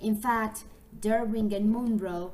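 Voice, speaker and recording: A woman speaks with a Spanish accent in a fairly high pitch. Her somewhat breathy voice moves at a fairly slow pace. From Colombia. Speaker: English teacher trainee. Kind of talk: scripted narration. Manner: formal.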